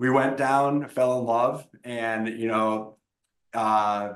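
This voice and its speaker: A man speaks in a normal speaking voice with an American accent. His pitch sits in the middle and his intonation stays fairly even. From Wisconsin. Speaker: tech startup founder. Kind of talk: interview.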